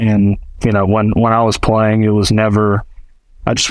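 A man speaks at a medium pitch and a fairly slow pace. It is a plain, everyday voice. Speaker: golf equipment tour rep. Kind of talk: casual chat.

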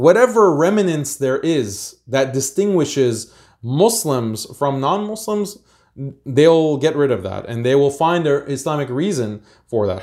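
A man with an American accent speaks in a plain, everyday voice, fairly high in pitch with lively intonation. The recording is very clean, with a silent background. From United States. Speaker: Islamic activist and institute founder. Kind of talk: podcast interview.

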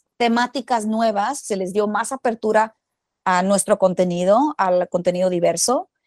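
A woman speaks at a fairly slow pace in an ordinary speaking voice, with ordinary pitch variation. The sound is dry and close with no echo, on a very clean recording with a silent background. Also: medium pitch for a woman. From Mexico, Culiacán, Sinaloa. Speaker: actress and screenwriter. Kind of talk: interview, casual chat.

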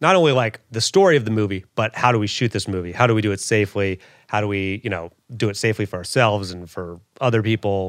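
At a fairly quick pace, a man talks in a normal speaking voice at medium pitch with ordinary pitch variation. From US South, Louisville, Kentucky. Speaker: comedian. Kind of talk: casual chat.

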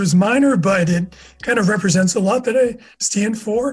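Ordinary pitch variation with an American accent, music in the background. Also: man. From US Northeast (Massachusetts). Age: 50s. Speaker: SEO manager. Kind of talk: casual interview.

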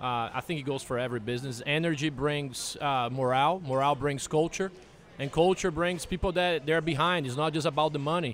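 A man speaks with a Portuguese accent at a fairly high pitch. His pace is fairly quick, with ordinary pitch variation. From Brazil. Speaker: bar owner. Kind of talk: casual interview.

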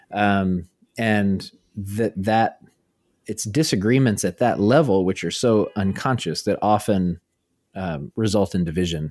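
A man with an American accent uses a plain, everyday voice at a fairly low pitch and a fairly slow pace. The sound is dry and close with no echo, ordinary pitch variation, and a quiet background. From US South, Arkansas small town. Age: 30s. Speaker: author and theologian. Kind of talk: interview conversation.

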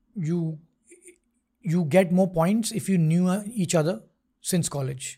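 On a very clean recording with a silent background, a man speaks at a high pitch with ordinary pitch variation. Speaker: tech startup founder and CEO. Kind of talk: interview conversation. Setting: studio.

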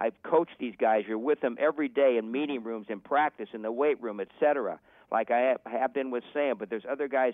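A man's medium-pitched voice, ordinary pitch variation, and a fairly quick pace. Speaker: former football coach. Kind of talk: podcast interview. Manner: animated, passionate; repeats words when excited.

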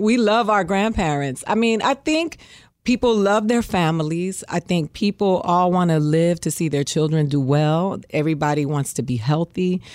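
A woman with an American accent has an ordinary speaking voice, fairly low in pitch with lively intonation and very even loudness. The recording is very clean, with a silent background. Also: moderate pace. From Miami, Florida. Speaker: comedian and actress. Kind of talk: casual interview chat.

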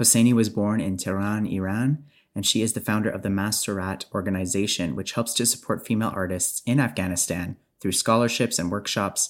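Here is an unremarkable speaking voice from a man with a fairly low pitch and ordinary pitch variation. He talks at a fairly quick pace on a very clean recording with a silent background. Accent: Canadian. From Canada. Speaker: podcast host. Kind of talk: scripted narration with interview questions.

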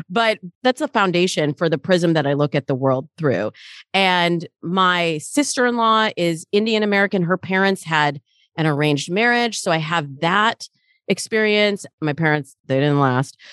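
A woman with an ordinary speaking voice, fairly low in pitch, with lively intonation, a moderate pace and very even loudness, in a dry, close sound with no echo against a quiet background. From Michigan, US. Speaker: dating coach. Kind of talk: interview conversation.

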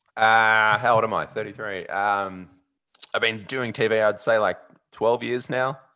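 A man with an Australian accent, medium pitch, and a bright, sharp tone, speaking fairly slowly in monotone, flat intonation against a quiet background. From Australia, Sydney. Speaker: sports TV presenter and podcaster. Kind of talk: casual interview chat.

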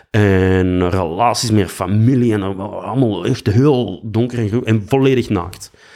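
This man speaks at a fairly slow pace with a fairly low pitch. His tone is dark and mellow, and his pitch varies in an ordinary way. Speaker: actor and musician. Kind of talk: casual chat.

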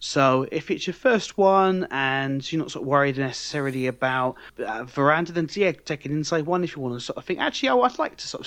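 A man speaks with a British accent and ordinary pitch variation. The background is quiet. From UK. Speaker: podcast co-host. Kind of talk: casual chat.

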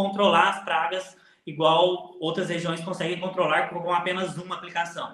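A man speaks with a high pitch. The room echo is audible, and background noise is noticeable. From Alta Mogiana, São Paulo state, Brazil. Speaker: coffee farmer and social media influencer. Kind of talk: interview.

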